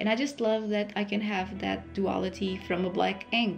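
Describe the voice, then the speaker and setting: Over music in the background, a woman talks at a moderate pace and a medium pitch. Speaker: illustrator. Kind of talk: art process voice-over. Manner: casual, chatty.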